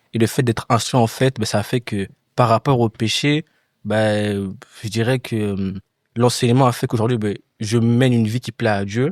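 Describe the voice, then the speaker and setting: In a dry, close sound with no echo, a man with an unremarkable speaking voice talks at a moderate pace with fairly even intonation. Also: medium pitch for a man, very clean recording, silent background. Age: young. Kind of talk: casual chat.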